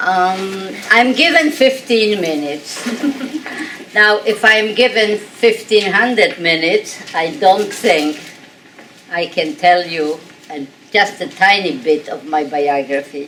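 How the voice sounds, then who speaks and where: A woman's medium-pitched voice with very wide pitch swings at a very slow pace, over noticeable background noise. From Poland, Warsaw. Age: 80s+. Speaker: Holocaust survivor speaker. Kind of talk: testimony.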